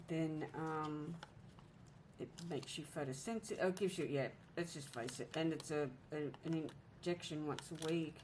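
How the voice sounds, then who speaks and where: A woman's very deep, low voice broken by long, frequent pauses. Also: ordinary pitch variation, moderate pace. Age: 50s. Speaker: planner vlogger. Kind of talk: casual chat. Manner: halting.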